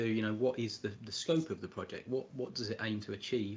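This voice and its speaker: With an English accent, a man delivers his words at a fairly quick pace. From England. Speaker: spreadsheet tutorial presenter. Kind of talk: tutorial. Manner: hesitant, many fillers and repeats.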